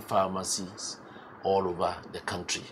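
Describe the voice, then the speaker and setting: A man speaks with a Ghanaian accent. His pitch is fairly low and his pace moderate. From Ghana, Eastern Region. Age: 60s. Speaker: entrepreneur and pharmacist. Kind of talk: interview.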